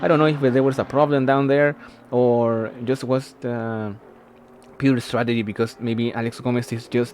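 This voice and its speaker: Speech with a non-native accent and ordinary pitch variation, over noticeable background noise. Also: man. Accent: non-native English pronunciation. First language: not English. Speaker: race commentator. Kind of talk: live commentary. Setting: livestream. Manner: halting, many fillers.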